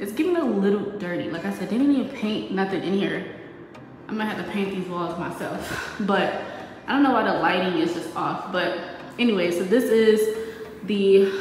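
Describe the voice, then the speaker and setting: A woman talks at a moderate pace with ordinary pitch variation. There is audible room echo and light background noise. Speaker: vlogger. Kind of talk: casual vlog chat. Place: home room. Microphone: phone near.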